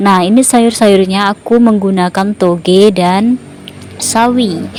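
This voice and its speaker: A woman speaks very slowly at a medium pitch, with noticeable background noise behind her. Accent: non-native. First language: a regional language of Indonesia (speaking Indonesian). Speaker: cooking vlogger. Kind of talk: cooking tutorial. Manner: halting, many fillers.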